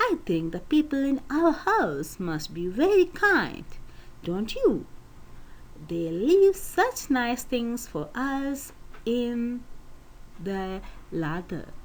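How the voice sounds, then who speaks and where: A woman puts on a squeaky character voice, pitched high, with very wide swings in pitch. She speaks very slowly with long, frequent pauses over light background noise. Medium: read story.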